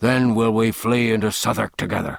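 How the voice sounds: Growling, the speaker puts on a character voice. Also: man.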